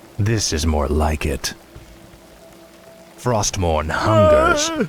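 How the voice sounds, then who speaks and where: A man puts on a character voice at a fairly low pitch. He speaks at a very slow pace, with faint music in the background. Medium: machinima. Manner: cold, commanding.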